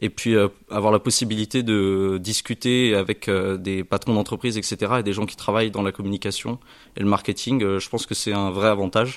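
The recording is very clean, with a silent background. A man speaks fairly quickly in a fairly low, monotone, flat voice. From western France, Charente-Maritime (Saintes). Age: young. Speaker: business school student. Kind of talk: self-introduction.

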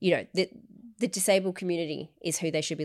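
A woman speaks with an Australian accent. Her intonation is fairly even. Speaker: podcast host. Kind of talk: casual chat.

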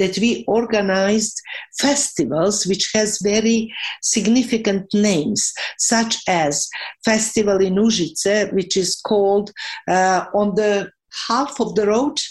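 At a very slow pace, a woman with a Serbian accent speaks at medium pitch, with ordinary pitch variation and very even loudness. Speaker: professor of cultural policy. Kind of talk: interview.

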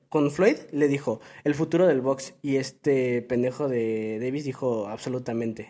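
With a Mexican accent, a man speaks in a dark, mellow tone at a medium pitch with ordinary pitch variation. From Mexico. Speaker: football podcast co-host. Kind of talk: casual chat.

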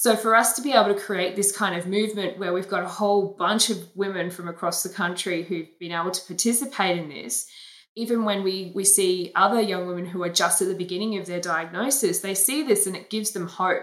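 A woman talks in an Australian accent at a medium pitch. She moves at a fairly quick pace with hardly any pauses and ordinary pitch variation. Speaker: breast cancer awareness campaigner. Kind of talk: interview. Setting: video call.

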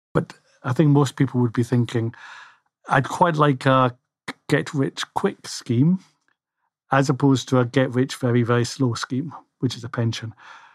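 Speaking with a Scottish accent, a man talks at a moderate pace and medium pitch with fairly even intonation and long, frequent pauses, in a dry, close sound with no echo. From Scotland. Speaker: financial planner. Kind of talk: casual chat. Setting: studio. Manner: halting, many fillers.

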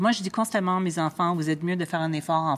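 Her pitch is very deep and low, and her intonation fairly even. The woman is captured on a very clean recording with a silent background. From Montreal, Quebec (Ville-Mont-Royal). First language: English (speaking French). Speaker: food critic. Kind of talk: casual interview. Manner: halting, with repetitions.

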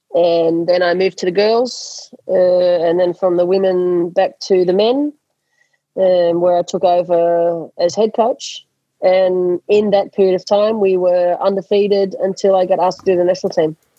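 With an Australian accent, a woman talks at a moderate pace and medium pitch, her loudness very even throughout. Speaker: hockey coach and former Olympic player. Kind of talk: interview. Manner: halting, with many repeated words.

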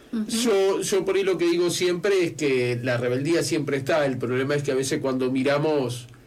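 The speaker keeps a moderate pace and very even loudness, with ordinary pitch variation. Noticeable background noise and audible room echo fill the recording. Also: man, fairly high pitch for a man. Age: 40s. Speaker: radio host. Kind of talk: casual interview.

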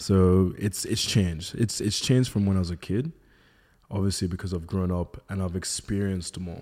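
In an Australian accent, a man speaks at a moderate pace with a very deep, low pitch and a dark, mellow tone. His intonation stays fairly even, and the recording is very clean with a silent background. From Melbourne, Australia. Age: 30s. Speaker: model and content creator. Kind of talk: casual chat.

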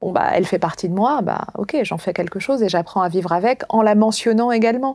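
This woman's voice has a dark, mellow tone, a fairly high pitch and ordinary pitch variation. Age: 30s. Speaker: philosophy teacher and author. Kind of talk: interview conversation.

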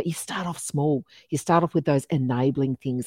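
Heard in a dry, close recording with no echo, a woman with an Australian accent speaks at a very deep, low pitch with fairly even intonation. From Melbourne, Australia. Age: 50s. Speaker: podcast host, diversity and inclusion consultant. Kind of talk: interview podcast conversation.

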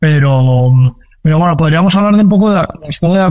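This man has a high pitch and a dark, mellow tone. He speaks at a moderate pace with ordinary pitch variation. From Spain, Valencia. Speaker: startup founder and CEO. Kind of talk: interview. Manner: halting, many fillers and repetitions.

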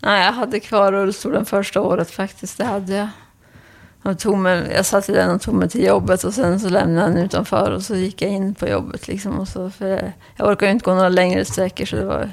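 A woman's medium pitch with vocal fry, monotone, flat intonation and a fairly quick pace. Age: 50s. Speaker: patient with Parkinson's, office worker. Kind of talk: interview. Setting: at home, in kitchen.

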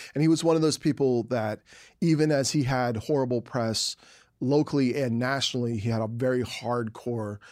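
Recorded very cleanly against a silent background, a man with an American accent and an unremarkable speaking voice talks at a moderate pace in a medium pitch with ordinary pitch variation. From US East Coast, Philadelphia. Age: 40s. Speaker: novelist and comic book writer. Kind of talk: interview conversation.

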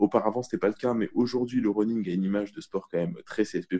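A man's dark, mellow voice at medium pitch. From Paris suburbs, France. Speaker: radio journalist. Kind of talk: casual chat.

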